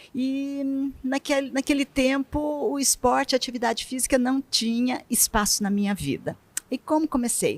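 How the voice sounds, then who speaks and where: A woman with a high pitch talks at a moderate pace with ordinary pitch variation. The sound is dry and close, with no echo. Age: 60s. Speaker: retired bank worker turned triathlete. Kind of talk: interview.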